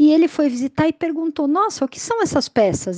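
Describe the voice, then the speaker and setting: On a dry, close recording with no echo, a woman talks at a very fast pace with lively intonation. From São Paulo, Brazil. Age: 40s. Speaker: community storyteller. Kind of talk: testimony.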